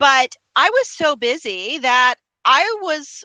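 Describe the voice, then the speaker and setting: Recorded dry and close with no echo, a woman speaks in a raised, projected voice. Her high pitch swings very widely, and her tone is bright and sharp. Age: 50s. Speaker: podcast host. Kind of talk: interview.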